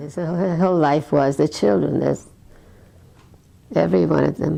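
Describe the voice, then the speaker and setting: At a moderate pace, a woman speaks in a very deep, low pitch with vocal fry, a dark, mellow tone and very wide pitch swings. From Eastern Europe. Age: 90s. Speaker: elderly sibling sharing memories. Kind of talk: interview reminiscence. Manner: halting.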